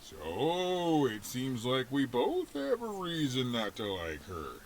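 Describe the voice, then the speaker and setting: A man's put-on character voice at medium pitch and a fairly slow pace, over clear background noise. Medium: video game. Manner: chatty, chuckling.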